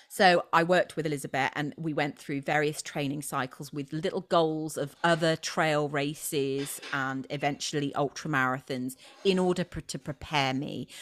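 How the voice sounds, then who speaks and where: In a British accent, a woman talks at a moderate pace with hardly any pauses. Her voice sits very deep and low, with fairly even intonation. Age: 40s. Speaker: trail runner and motivational speaker. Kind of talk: casual chat.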